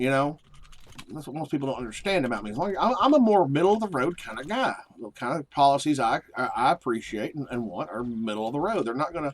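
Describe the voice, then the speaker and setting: A man with a Southern US accent, fairly high-pitched, talking at a very fast pace with very wide pitch swings. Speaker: video game streamer. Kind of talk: casual chat. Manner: animated.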